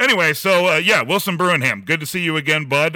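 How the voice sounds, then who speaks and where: A loud man speaks at a fairly quick pace, with a fairly high pitch. His tone is bright and sharp, with vocal fry. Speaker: podcast host. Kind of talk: casual chat. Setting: video call, recording in a garage.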